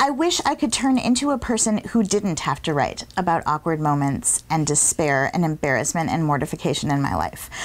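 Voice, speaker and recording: A woman talks at a fairly quick pace with hardly any pauses. Her pitch swings very widely. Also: fairly low pitch for a woman, very even loudness. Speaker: fringe festival performer. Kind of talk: interview. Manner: loud.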